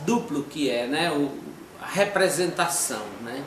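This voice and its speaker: A man with a fairly high pitch speaks at a fairly slow pace. The recording has audible room echo and noticeable background noise. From Brazil, Federal District (Ceilândia/Taguatinga). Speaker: street theatre performer. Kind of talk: interview testimony. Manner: halting, many fillers.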